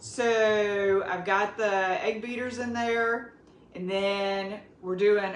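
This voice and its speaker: In a room with audible echo, a woman with a Southern US accent speaks very slowly at a medium pitch with ordinary pitch variation. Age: 50s. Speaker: cooking vlogger. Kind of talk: cooking tutorial. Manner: casual and chatty.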